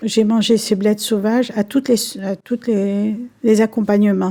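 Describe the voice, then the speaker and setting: At a fairly slow pace, the speech comes in a dark, mellow tone. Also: woman. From Algeria. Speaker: senior interviewee. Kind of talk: reminiscence interview.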